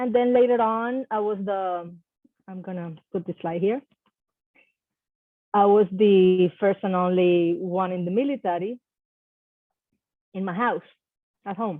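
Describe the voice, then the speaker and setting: With a Spanish accent, a woman speaks with long, frequent pauses and big swings in loudness. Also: medium pitch for a woman, ordinary pitch variation. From Puerto Rico. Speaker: army veteran and psychology professor. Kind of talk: presentation talk.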